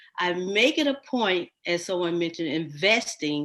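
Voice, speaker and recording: A very clean recording has a silent background. The voice sounds bright and sharp. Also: woman. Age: 60s. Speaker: magazine publisher. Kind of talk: panel discussion.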